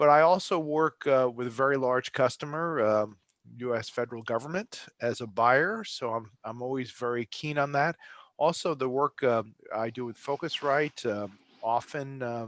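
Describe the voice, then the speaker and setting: Speaking at a moderate pace with ordinary pitch variation, a man with a slight New Jersey accent has a medium-pitched voice, recorded with a dry, close sound, no echo and a quiet background. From New Jersey, Bergen County. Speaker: travel industry consultant. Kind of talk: interview. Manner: halting, many fillers.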